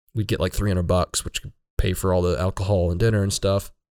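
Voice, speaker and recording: Over a very clean, silent background with a dry, close sound and no echo, a man talks fairly quickly in an ordinary speaking voice with fairly even intonation. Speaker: podcast host. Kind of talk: casual conversation.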